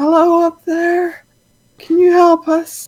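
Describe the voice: A put-on character voice, pitched extremely high. It moves at a fairly slow pace in a monotone, flat intonation.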